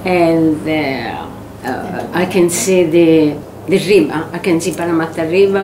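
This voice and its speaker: A woman with a Sicilian accent, fairly low in pitch and fairly even in intonation, at a fairly slow pace amid noticeable background noise. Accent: Italian (Sicilian). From Sicily, Italy. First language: Italian. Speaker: former primary school teacher. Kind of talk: oral history interview answer. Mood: warm, cheerful. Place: home room.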